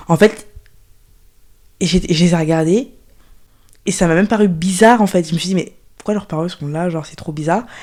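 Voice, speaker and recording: Her tone is dark and mellow. The woman keeps a moderate pace with ordinary pitch variation. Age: 20s. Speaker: fitness coach, trauma survivor. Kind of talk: testimony. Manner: halting.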